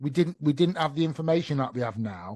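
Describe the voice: Fast and lively in intonation, a man talks in a fairly high voice. His tone is slightly mellow.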